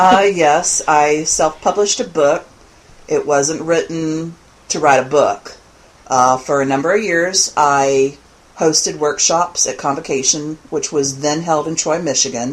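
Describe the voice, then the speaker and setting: This woman's pitch is very deep and low, with ordinary variation. She talks at a fairly slow pace. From Louisiana, Lafayette (Cajun). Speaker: pagan author and teacher. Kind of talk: podcast interview.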